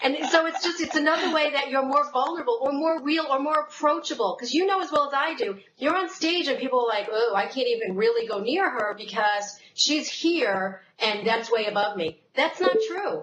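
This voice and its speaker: With a New York accent, a woman speaks at a moderate pace and high pitch, her pitch swinging very widely with hardly any pauses. Noticeable background noise can be heard. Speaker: sales and marketing speaker, former insurance professional. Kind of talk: casual interview chat.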